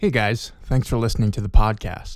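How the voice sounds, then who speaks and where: This man has a normal speaking voice, medium in pitch, moving at a fairly quick pace. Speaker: podcast host. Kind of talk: casual chat.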